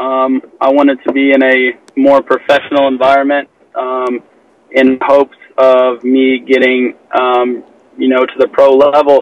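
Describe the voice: A man talks at a fairly slow pace in a medium-pitched, monotone, flat voice, the sound dry and close with no echo.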